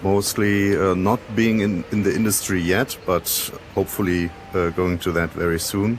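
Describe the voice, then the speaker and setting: With a German accent, a man speaks at a fairly slow pace in a very deep, low pitch and a monotone, flat intonation, over noticeable background noise. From Germany. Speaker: VR developer. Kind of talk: casual group introduction. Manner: halting.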